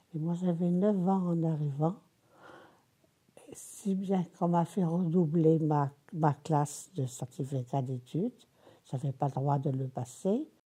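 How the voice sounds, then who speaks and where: Somewhat breathy and dark, mellow in tone, a woman with a very deep, low pitch talks at a very slow pace with ordinary pitch variation and long, frequent pauses. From Tunisia, then Brittany (Landerneau). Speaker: elderly woman recounting her life. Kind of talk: oral history interview. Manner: halting.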